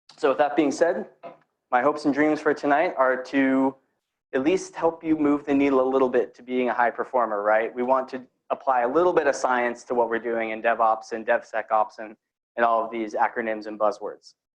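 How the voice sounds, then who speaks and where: At a fairly quick pace, a man talks at a medium pitch with ordinary pitch variation. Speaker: security engineer giving a tech talk. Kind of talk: conference talk to live audience. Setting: room with live audience. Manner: fast; casual, energetic.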